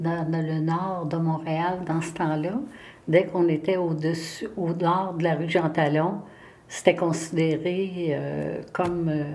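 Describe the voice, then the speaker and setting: Audible room echo surrounds a woman who speaks very slowly with a fairly low pitch and fairly even intonation. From Quebec, Montreal. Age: 70s. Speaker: retired municipal secretary-treasurer, local historian. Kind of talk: interview. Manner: hesitant, many fillers.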